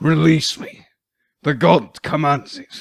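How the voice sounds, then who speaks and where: Putting on a character voice, a man speaks at a fairly slow pace, sounding croaky, hoarse and raspy. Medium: read story.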